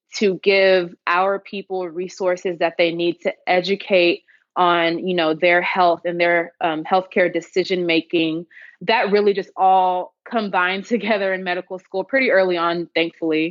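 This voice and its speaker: Speaking at a moderate pace with an American accent, a woman has a plain, everyday voice, medium pitch and fairly even intonation. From Houston, Texas. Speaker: emergency medicine physician. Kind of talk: podcast interview answer.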